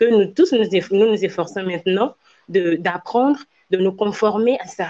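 A woman with a West African accent at a moderate pace and with ordinary pitch variation. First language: Ewe (speaking French). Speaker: slam poet and Ewe language professional. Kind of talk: interview.

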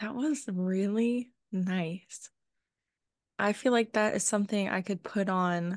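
An unremarkable speaking voice at a fairly slow pace, fairly even in intonation, with a dry, close sound, no echo and a quiet background. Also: woman. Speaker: podcast co-host.

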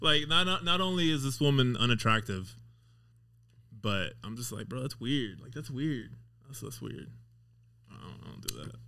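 With an American accent, a man speaks at medium pitch in a bright, sharp tone with vocal fry and lively intonation at a moderate pace. His loudness swings widely, long pauses come often, and room echo can be heard. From Las Vegas, US. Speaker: auto mechanic. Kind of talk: casual chat.

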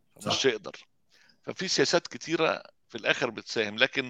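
A man speaks at a moderate pace with ordinary pitch variation. The sound is dry and close with no echo, and his tone is bright and sharp. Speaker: garment industry engineer and photographer. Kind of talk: interview.

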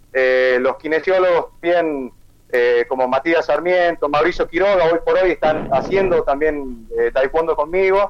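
This man has a high pitch. He speaks at a fairly slow pace. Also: ordinary pitch variation, very even loudness. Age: 40s. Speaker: physical education teacher. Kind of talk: interview.

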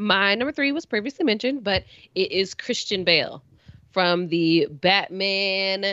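A woman with a plain, everyday voice speaks at medium pitch. Her intonation is lively and her pace fairly slow. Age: young. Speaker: podcast co-host. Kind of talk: casual chat.

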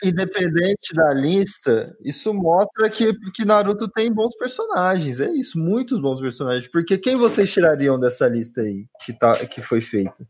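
A man speaks at a high pitch with very wide pitch swings. His pace is fairly slow, yet he hardly pauses. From Brazil, Brasília. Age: 30s. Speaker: podcast co-host. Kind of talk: casual chat.

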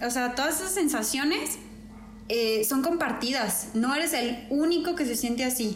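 A woman speaks at a moderate pace with a high pitch and ordinary pitch variation. Noticeable background noise and audible room echo surround her voice. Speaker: podcast co-host, engineer. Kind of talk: casual chat. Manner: halting, many repetitions.

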